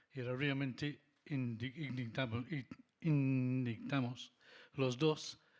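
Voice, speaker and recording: The speaker has a strong non-native accent and a very slow pace. The intonation stays fairly even. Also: man. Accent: foreign accent in Spanish, still strong. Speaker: lighting designer. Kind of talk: panel discussion.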